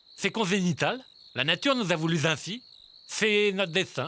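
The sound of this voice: A man with a high pitch and a bright, sharp tone uses a raised, projected voice with lively intonation and very even loudness at a moderate pace, on a very clean recording with a silent background.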